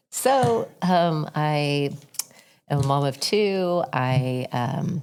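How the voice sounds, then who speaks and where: With an American accent, this voice moves at a very slow pace with ordinary pitch variation. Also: woman, very deep, low pitch for a woman. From Florida. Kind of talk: casual chat. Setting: studio.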